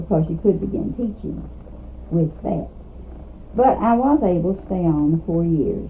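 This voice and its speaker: Someone with a Kentucky accent speaks with long, frequent pauses against noticeable background noise. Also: woman, moderate pace. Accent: Southern US (Kentucky). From US South, Kentucky (Trigg County). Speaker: retired teacher. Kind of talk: oral history interview.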